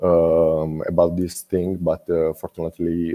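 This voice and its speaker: A man with a non-native accent speaks at a very slow pace in a very deep, low pitch. His intonation is monotone and flat. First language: not English. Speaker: student boat-building team member. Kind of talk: presentation Q&A. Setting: online video call. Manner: halting, many fillers.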